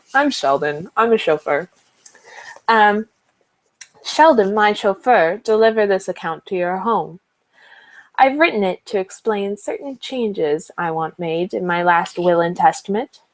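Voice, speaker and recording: In a dry, close sound with no echo, a woman of medium pitch speaks with lively intonation at a fairly slow pace, leaving long, frequent pauses. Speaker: vlogger reading a book aloud. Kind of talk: reading aloud. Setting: webcam livestream. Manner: loud.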